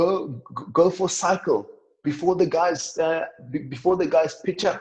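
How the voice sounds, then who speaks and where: A man with a high pitch speaks at a moderate pace. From South Africa, Limpopo rural. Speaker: professional rugby player. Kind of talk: podcast interview. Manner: halting, repeats words.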